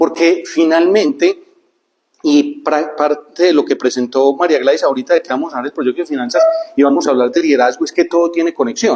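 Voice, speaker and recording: A man talks with a normal speaking voice at a fairly high pitch. His pitch variation is ordinary and his pace fairly quick. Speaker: speaker on neuroscience and life planning. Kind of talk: talk to a group.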